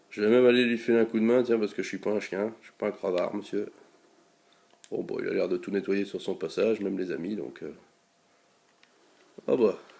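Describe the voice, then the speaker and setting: A man's fairly quick speech in a Belgian accent, with big swings in loudness and long, frequent pauses. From Belgium. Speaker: gaming YouTuber. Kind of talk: gameplay commentary. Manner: casual, many hesitations (euh).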